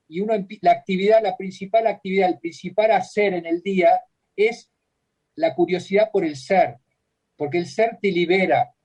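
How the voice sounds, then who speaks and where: A man with a high pitch speaks at a moderate pace. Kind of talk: radio interview.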